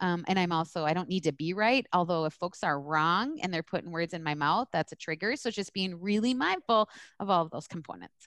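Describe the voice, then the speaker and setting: With an American accent and an ordinary speaking voice, a woman talks at a fairly quick pace with ordinary pitch variation, the sound dry and close with no echo. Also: fairly low pitch for a woman, quiet background. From US East Coast. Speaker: social work supervisor and educator. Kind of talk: interview.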